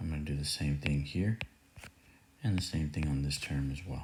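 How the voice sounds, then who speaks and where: A man with a very deep, low pitch and a somewhat breathy voice talks at a moderate pace with ordinary pitch variation. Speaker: math teacher. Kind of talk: tutorial.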